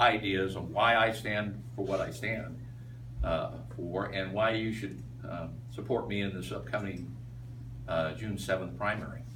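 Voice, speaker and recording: In an American accent, a man speaks at a fairly slow pace with a fairly low pitch. The recording has audible room echo and noticeable background noise. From Iowa, US Midwest. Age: 60s. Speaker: political candidate. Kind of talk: campaign speech. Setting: meet and greet with audience. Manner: halting, many fillers.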